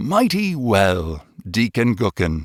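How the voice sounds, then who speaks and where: A man does a put-on character voice at a medium pitch, swinging his pitch very widely. The sound is dry and close with no echo, on a very clean recording with a silent background. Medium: read story. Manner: solemn.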